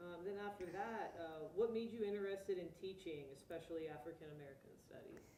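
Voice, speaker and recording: A woman with a plain, everyday voice talks at a fairly quick pace with hardly any pauses. Her pitch is fairly low, with ordinary pitch variation and big swings in loudness. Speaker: oral history project interviewer. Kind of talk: interviewer asking questions.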